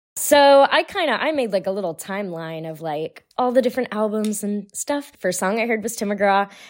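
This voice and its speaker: A woman's plain, everyday voice, medium in pitch, lively in intonation, at a moderate pace with hardly any pauses, in a very clean recording with a silent background. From California. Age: 20s. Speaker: lab manager, listener guest. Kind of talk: casual interview chat.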